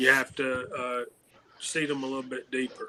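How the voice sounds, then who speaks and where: In a Southern US accent, a man speaks with a bright, sharp tone and monotone, flat intonation. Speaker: shooting hobbyist panelist. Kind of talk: casual chat. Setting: live stream.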